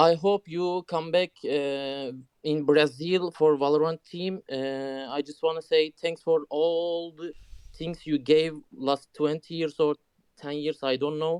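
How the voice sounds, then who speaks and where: In a Turkish accent, a man speaks very slowly in a flat monotone at a fairly high pitch, with a dry, close sound and no echo. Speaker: caller. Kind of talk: casual chat. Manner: halting.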